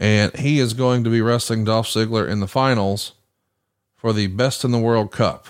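A man speaks with a Southern US accent at a moderate pace, his intonation fairly even. The recording is very clean with a silent background, and the loudness stays very even. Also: medium pitch for a man. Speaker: podcast host. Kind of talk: casual chat.

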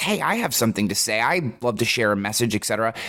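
A man speaks loudly at a fairly quick pace. His pitch swings very widely. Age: 40s. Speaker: podcast host. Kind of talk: casual interview conversation. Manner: fast, loud talker.

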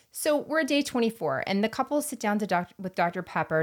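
A woman's medium-pitched voice with an American accent and very wide pitch swings. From US Gulf Coast (Florida Panhandle). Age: 30s. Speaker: podcast co-host. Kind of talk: casual chat.

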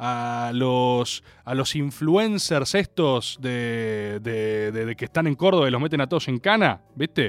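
A man with a Rioplatense accent sounds animated, his intonation lively. The recording is very clean with a silent background. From Argentina. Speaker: radio host. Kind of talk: casual chat.

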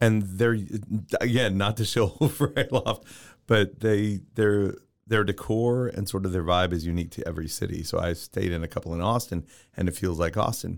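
Over a very clean recording with a silent background, a man with a fairly low pitch speaks at a moderate pace. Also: ordinary pitch variation. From Texas. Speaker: podcast guest. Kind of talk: casual chat.

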